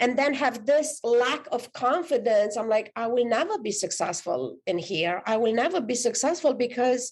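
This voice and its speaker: A woman with a Romanian accent, fairly high in pitch, at a moderate pace with lively intonation, over noticeable background noise. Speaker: author and life coach. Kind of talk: podcast interview.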